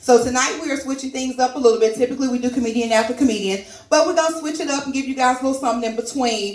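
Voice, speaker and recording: A loud, high-pitched woman in an animated tone with ordinary pitch variation, over noticeable background noise and audible room echo. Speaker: comedy open mic host. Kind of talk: stand-up hosting with audience. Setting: stage with live audience.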